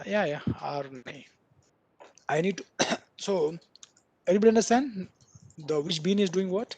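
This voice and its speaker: The speaker goes at a moderate pace, with long, frequent pauses. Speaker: programming instructor. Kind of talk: lecture.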